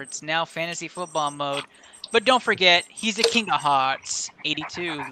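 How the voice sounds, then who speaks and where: With an American accent, a man talks at a fairly quick pace and a high pitch over noticeable background noise. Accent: Texan accent, strong today. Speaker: sports podcast host. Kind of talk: casual sports podcast chat. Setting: studio. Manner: animated.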